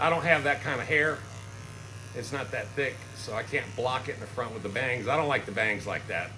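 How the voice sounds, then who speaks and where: Noticeable background noise and audible room echo accompany a man talking at a fairly quick pace, medium in pitch with ordinary pitch variation. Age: 60s. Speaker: YouTuber. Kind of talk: casual chat. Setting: barbershop.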